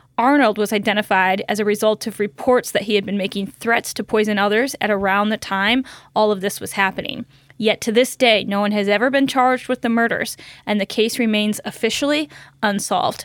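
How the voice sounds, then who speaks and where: In a very clean recording with a silent background and a dry, close sound with no echo, a woman with an American accent and an ordinary speaking voice talks at a fairly quick pace with fairly high pitch and fairly even intonation. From rural Michigan. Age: 40s. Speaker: lawyer and podcast host. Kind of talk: scripted narration; casual interview chat.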